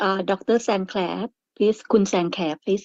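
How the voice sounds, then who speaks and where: Very fast and fairly even in intonation, a woman speaks at medium pitch in a Thai accent. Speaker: webinar moderator. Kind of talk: panel discussion moderation. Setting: webinar.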